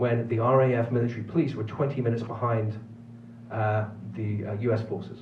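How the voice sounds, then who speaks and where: In a Manx accent, a man speaks at a fairly quick pace and medium pitch with monotone, flat intonation, and room echo is audible. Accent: British (Manx). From Isle of Man. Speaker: film producer and professor. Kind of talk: film festival Q&A. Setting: theater with audience.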